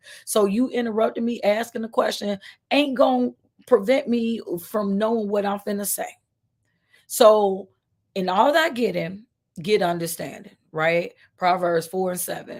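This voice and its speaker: A woman's medium-pitched, lively delivery at a moderate pace, broken by long, frequent pauses. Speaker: author and publishing coach. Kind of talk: live stream talk. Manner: animated.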